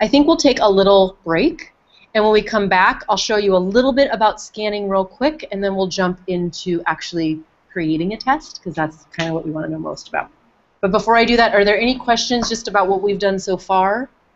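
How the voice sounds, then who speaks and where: Here a woman speaks at a medium pitch and a fairly quick pace. Her pitch varies in an ordinary way. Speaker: software trainer. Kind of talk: workshop training session. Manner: fast.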